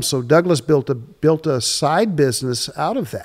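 A fairly high male voice at a moderate pace, on a very clean recording with a silent background. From Louisiana. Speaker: agricultural extension specialist on seafood. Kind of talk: casual interview. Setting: recorded at a museum, on-location podcast.

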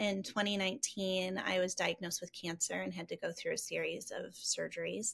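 With an American accent, a woman is talking. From Rockford, Illinois, US Midwest. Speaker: entrepreneur and designer. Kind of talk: casual interview chat.

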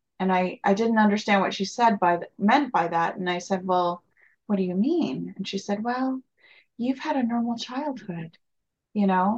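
Her voice is somewhat breathy. The woman's intonation is lively. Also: medium pitch for a woman, moderate pace. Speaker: interviewer, podcast host. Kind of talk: casual interview.

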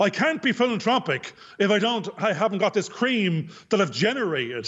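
In an Irish accent, the speaker keeps a moderate pace and very even loudness while the pitch swings very widely. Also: man, high pitch for a man. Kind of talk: casual chat.

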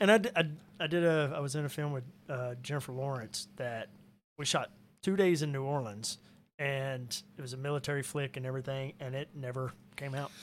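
At a fairly high pitch and fairly quick pace, a man talks in an unremarkable speaking voice with ordinary pitch variation. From Arkansas, US South (Cabot). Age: 40s. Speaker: musician and actor. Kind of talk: casual chat.

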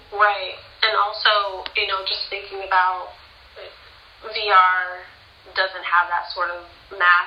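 In an American accent, a woman speaks very slowly at a medium pitch, her intonation monotone and flat and her loudness swinging widely. Room echo and background noise are both noticeable. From US West Coast, Pasadena, California. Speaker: scientist and artist. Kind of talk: interview.

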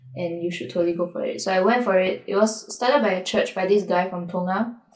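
A woman at a medium pitch with fairly even intonation, over noticeable background noise. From Singapore. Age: 20s. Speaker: singer-songwriter. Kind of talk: interview conversation.

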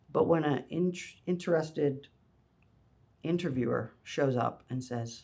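Ordinary pitch variation and a fairly high pitch in a man's unremarkable speaking voice. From Canada. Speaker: photography studio founder. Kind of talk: interview. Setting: photo studio.

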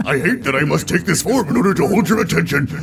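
Amid noticeable background noise, a man rattles along at a very fast pace in a gravelly, high-pitched put-on character voice. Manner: grave, resentful.

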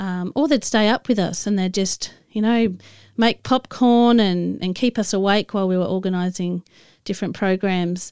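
Speaking at a moderate pace, a woman has an Australian accent. The recording is very clean, with a silent background. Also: medium pitch for a woman, ordinary pitch variation, dry, close sound with no echo. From Australia, Adelaide. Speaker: podcast host. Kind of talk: casual storytelling monologue. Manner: halting, with many fillers.

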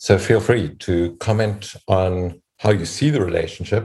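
Dark and mellow, a man's voice sits very deep and low, somewhat breathy, with fairly even intonation. The recording is very clean, with a silent background. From South Africa. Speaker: professor and podcast host. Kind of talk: panel discussion.

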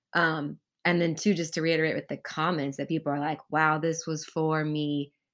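A woman speaks at a moderate pace with a very deep, low pitch. The recording is very clean, with a silent background.

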